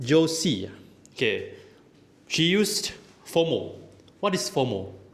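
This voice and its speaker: In a room with audible echo, a man talks at a fairly slow pace with a high voice that swings very widely in pitch. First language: not English. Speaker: toastmasters language evaluator. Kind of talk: speech evaluation. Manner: halting, many fillers.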